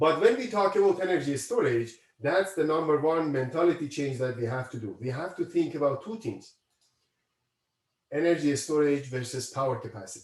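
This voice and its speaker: A man's fairly high, somewhat breathy voice at a fairly quick pace, with lively intonation. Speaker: university professor. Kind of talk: lecture.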